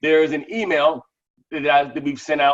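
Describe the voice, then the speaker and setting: This man speaks loudly, his pitch fairly high. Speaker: crypto app promoter. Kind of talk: live webinar Q&A. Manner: fast.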